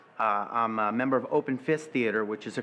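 The speaker is a man. He talks in a Brooklyn accent. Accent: Brooklyn New York. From New York (Brooklyn). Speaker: stage actor. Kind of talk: interview monologue. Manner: animated. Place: home room.

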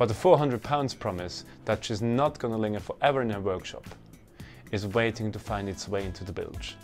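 Over faint music in the background, a man speaks at a moderate pace with ordinary pitch variation. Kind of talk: casual vlog chat. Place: workshop. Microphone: lapel.

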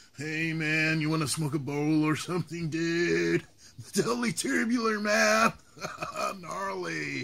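Using a put-on character voice, a man speaks at a fairly high pitch and fairly slow pace with lively intonation. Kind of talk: comic caricature. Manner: drawling, laid-back.

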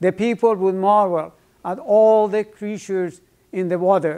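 Against a quiet background, a man with a high pitch talks at a fairly slow pace and with fairly even intonation. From Iran. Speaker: professor. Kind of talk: lecture. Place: classroom.

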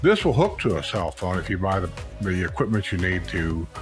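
With faint music in the background, this man keeps a moderate pace. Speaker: youtuber reviewing gear. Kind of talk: casual product review chat. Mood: relaxed, chatty. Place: home room. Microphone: studio mic.

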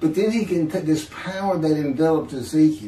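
A man talks amid light background noise, and audible room echo surrounds him. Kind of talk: casual video chat testimony. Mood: animated, laughing at times.

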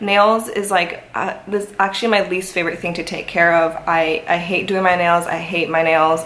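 With light background noise behind her, a woman speaks at a moderate pace. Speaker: fashion vlogger. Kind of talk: casual vlog chat. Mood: cheerful, relaxed. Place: home room. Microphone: camera far.

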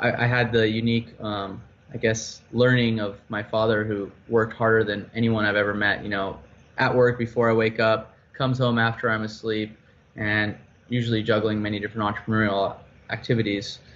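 With an American accent and monotone, flat intonation, a man speaks at a moderate pace over light background noise. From United States. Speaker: startup founder; guest. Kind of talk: interview. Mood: calm, reflective. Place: home room. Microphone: video call.

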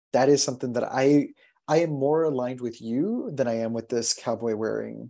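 A man speaks with an American accent in a dark, mellow tone and fairly even intonation. The background is quiet. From Texas, USA. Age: 30s. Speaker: broadcast journalist and podcast producer; broadcast journalist, podcast producer. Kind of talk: interview answer. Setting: video call. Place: home room. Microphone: video call.

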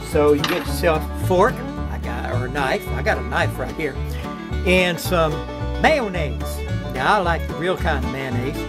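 With an American accent, a man speaks at a moderate pace. Clear music plays in the background. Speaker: home cook. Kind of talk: casual cooking demo to camera. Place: kitchen. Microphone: phone near.

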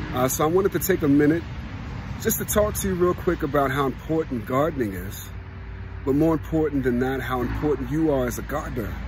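A man talks at a very fast pace with ordinary pitch variation. There is noticeable background noise, and the sound is dry with no echo. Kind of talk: casual vlog chat. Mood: warm, encouraging. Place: garden. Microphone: phone near.

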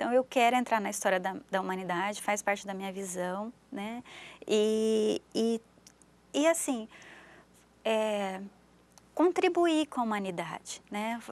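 A woman's fairly high voice with lively intonation, long and frequent pauses, and a dry sound with no echo. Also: fairly slow pace. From interior of São Paulo state, Brazil. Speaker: visual artist; interview guest. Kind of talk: interview. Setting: TV studio. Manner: halting, frequent repetitions. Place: studio. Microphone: lapel.

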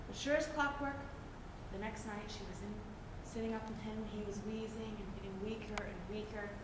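A woman with an American accent speaks at a moderate pace with long, frequent pauses, her voice carrying audible room echo over loud background noise. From West Virginia. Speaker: storyteller. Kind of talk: folk tale storytelling. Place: stage. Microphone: camera far.

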